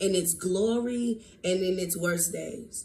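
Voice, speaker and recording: A woman's medium-pitched voice, animated in tone and slightly creaky with vocal fry, at a fairly slow pace with ordinary pitch variation and audible room echo. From US South. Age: 20s. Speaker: podcast host. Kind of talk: casual monologue podcast.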